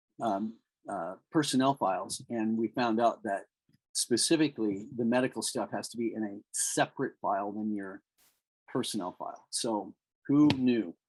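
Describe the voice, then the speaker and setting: A man's unremarkable speaking voice, medium in pitch with ordinary pitch variation, at a moderate pace, in a dry, close sound with no echo and a very clean recording against a silent background. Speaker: small business owner and presenter. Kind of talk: informational presentation.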